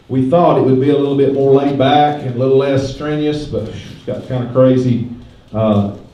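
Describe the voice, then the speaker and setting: With an American accent, the speaker keeps a moderate pace and fairly even intonation over noticeable background noise. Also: man. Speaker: stockyard auction host. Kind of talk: public address announcement. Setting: PA system at a livestock sale. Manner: folksy, joking.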